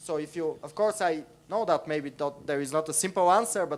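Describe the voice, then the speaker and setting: A moderate pace with a Bulgarian accent. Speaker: audience member asking a question. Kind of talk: conference panel question. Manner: halting.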